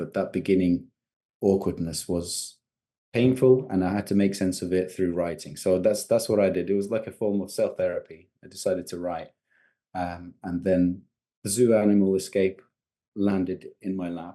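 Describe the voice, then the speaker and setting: A man's very deep, low, dark and mellow voice with an English accent, fairly even intonation and a moderate pace. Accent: English accent when speaking Georgian. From Georgia, raised in UK from young age. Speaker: novelist. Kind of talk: interview. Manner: hesitant, many fillers.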